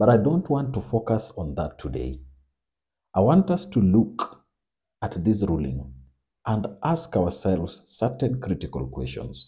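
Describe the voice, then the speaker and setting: With a dark, mellow tone and vocal fry, a man with a fairly low voice speaks at a fairly slow pace, his pitch swinging very widely. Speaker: political commentator. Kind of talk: political analysis monologue.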